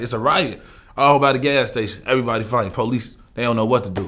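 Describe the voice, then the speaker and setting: This is a man talking. His pace is very fast. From Chicago, east side. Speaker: rapper; interview guest. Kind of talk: casual interview. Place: studio.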